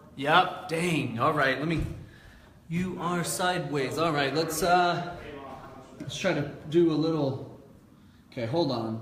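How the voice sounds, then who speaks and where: With long, frequent pauses, a man speaks at a fairly slow pace and ordinary pitch variation amid noticeable background noise and audible room echo. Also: fairly high pitch for a man. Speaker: motivational speaker. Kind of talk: casual livestream talk. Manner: loud; animated.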